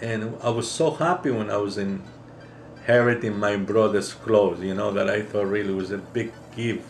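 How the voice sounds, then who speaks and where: A man with a Greek accent at a fairly low pitch, moderate pace and ordinary pitch variation, with hardly any pauses and audible room echo. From Greece. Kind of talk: personal testimony.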